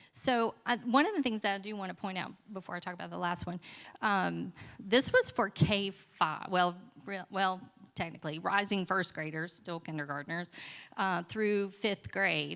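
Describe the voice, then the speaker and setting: On a very clean recording with a silent background, a woman at medium pitch speaks at a moderate pace with ordinary pitch variation and big swings in loudness. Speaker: school librarian presenting at conference. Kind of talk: conference presentation.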